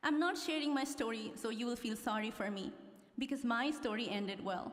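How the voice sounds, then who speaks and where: A woman with a Nepali accent is heard amid noticeable background noise and audible room echo. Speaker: law graduate. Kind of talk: commencement speech. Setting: stage with audience.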